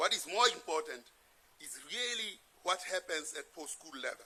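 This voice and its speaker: With a Lesotho accent, a man speaks at a high pitch and a moderate pace in a bright, sharp tone. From South Africa. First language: Sesotho. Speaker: presenter at a political assembly. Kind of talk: lecture.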